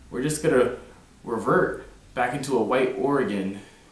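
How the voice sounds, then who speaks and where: A medium-pitched man with ordinary pitch variation over noticeable background noise. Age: 20s. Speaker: activist and mayoral candidate. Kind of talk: campaign speech to camera.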